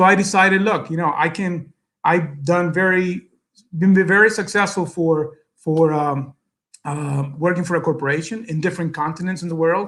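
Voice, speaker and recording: Recorded very cleanly against a silent background, a man with a Spanish accent speaks in a high pitch with fairly even intonation. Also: moderate pace. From El Salvador. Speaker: businessman, guest speaker. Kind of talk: speech to an audience. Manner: halting, many fillers.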